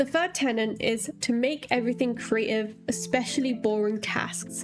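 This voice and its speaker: Over noticeable background noise, a woman speaks with a fairly high pitch and ordinary pitch variation. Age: 20s. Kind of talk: video essay talk to camera. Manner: fast.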